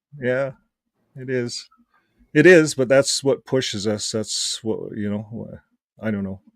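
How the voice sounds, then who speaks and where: A man speaks in a normal speaking voice at medium pitch, with ordinary pitch variation. His pace is fairly slow, and his loudness swings a lot. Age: 60s. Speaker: ex-Jehovah's Witness channel host. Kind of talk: casual chat.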